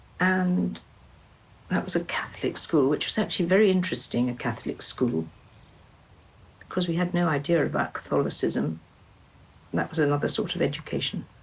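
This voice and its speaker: A woman speaks in a fairly low pitch with vocal fry and ordinary pitch variation. Long, frequent pauses break up her speech. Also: very even loudness. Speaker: artist and retired teacher. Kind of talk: interview reminiscence. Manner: halting.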